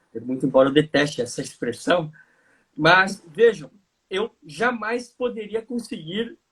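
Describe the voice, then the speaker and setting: A man's voice with lively intonation. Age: 30s. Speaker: lawyer and lecturer. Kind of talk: panel discussion. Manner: formal.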